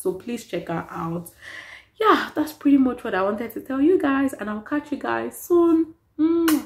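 The woman's pitch swings very widely. Her pace is moderate. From Nigeria. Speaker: vlogger. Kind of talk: casual vlog talk to camera. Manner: animated. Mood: cheerful, playful. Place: home room. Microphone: phone near.

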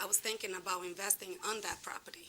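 Monotone, flat intonation over noticeable background noise. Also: woman. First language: not English. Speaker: resident speaking at public hearing. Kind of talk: public comment at town meeting. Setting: town commission meeting.

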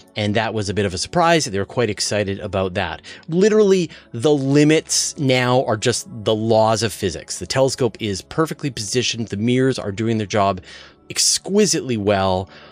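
A man speaks at a moderate pace in a dry sound with no echo, with faint music in the background. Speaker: science news host. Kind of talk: news commentary. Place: studio. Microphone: studio mic.

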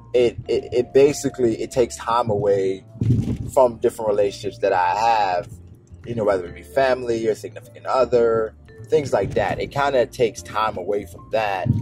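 A man speaks at a moderate pace with ordinary pitch variation and big swings in loudness, in a dry sound with no echo and clear music in the background. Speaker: YouTuber. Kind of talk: casual vlog chat. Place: car.

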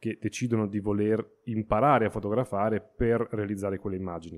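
The recording of this man's voice is very clean, with a completely silent background. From Emilia-Romagna, Italy. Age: 30s. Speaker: astrophotographer. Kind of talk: interview. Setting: studio. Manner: halting.

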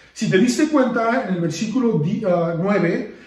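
This man has a high pitch and lively intonation, speaking at a very slow pace. The background is quiet, though audible room echo comes through. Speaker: preacher. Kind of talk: sermon on a Bible passage, with prayer. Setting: online video service in lockdown, few people present. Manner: earnest, teacherly, exhorting the listener directly. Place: home room. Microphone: phone near.

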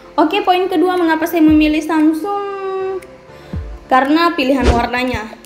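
A woman speaks with audible room echo while clear music plays in the background. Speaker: phone reviewer. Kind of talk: product review talk. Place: home room. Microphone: phone near.

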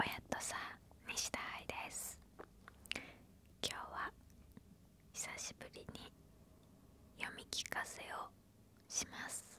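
Soft-spoken whispering from a woman at a very slow pace, with long, frequent pauses, big swings in loudness, and light background noise. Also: dry sound with no echo. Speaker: ASMR storyteller. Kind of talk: soft story reading. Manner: soft close-mic whisper. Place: home room. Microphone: handheld.

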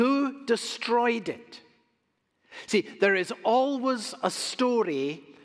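A man speaks very slowly, with only a quiet background around him. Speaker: pastor. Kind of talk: sermon. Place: church.

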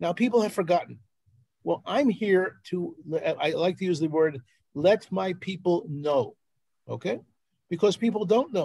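In a Philadelphia accent, a man with a high pitch and a dark, mellow tone talks at a moderate pace with lively intonation and long, frequent pauses, the sound dry with no echo over a quiet background. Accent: American, Philadelphia. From Philadelphia, US. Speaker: journalist and researcher; journalist. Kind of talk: presentation on a live video call. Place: home room. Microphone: video call.

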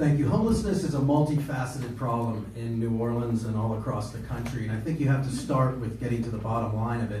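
Over light background noise and audible room echo, a man talks at a very fast pace with fairly even intonation. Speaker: political candidate and criminal defense attorney. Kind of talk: candidates' forum. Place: meeting room. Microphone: camera far.

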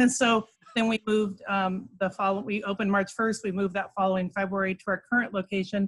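A somewhat breathy voice at a fairly quick pace over a quiet background. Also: woman. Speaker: remote guest. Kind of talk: interview answer. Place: home room. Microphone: video call.

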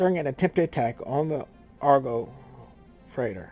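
A man's medium-pitched voice is heard with music playing behind him. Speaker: video game streamer. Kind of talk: reading on-screen news text aloud.

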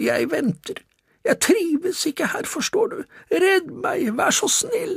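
A man uses a put-on character voice in a hoarse falsetto. His pitch is extremely high. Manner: pleading.

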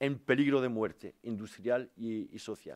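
A man with a French accent talks at a fairly slow pace. The background is quiet. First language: French (speaking Spanish). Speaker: politician, former steelworker; politician. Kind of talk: press conference. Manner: halting. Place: meeting room. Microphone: podium.

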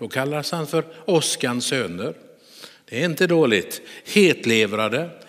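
This man talks at a fairly slow pace in a fairly high pitch, his voice swinging very widely up and down. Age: 60s. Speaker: pastor; preacher. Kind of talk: sermon. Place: church. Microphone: headset.

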